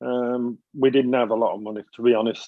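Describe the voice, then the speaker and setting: A man with a Mancunian accent talks at a moderate pace and medium pitch, his intonation fairly even. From Manchester, northern England. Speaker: interview guest. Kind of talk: podcast interview. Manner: hesitant, many fillers and repeats.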